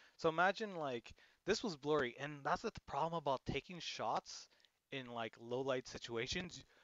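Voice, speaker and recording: In a normal speaking voice, a man with a Canadian accent talks at a moderate pace. His pitch is fairly high and his intonation lively. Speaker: DJ, music producer and livestreamer. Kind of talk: casual livestream chat reviewing photos. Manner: casual, filler-heavy.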